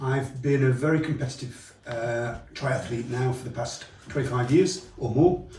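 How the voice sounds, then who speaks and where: The voice moves at a moderate pace with fairly even intonation over noticeable background noise. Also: man. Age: 60s. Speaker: triathlete. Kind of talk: testimonial interview answer.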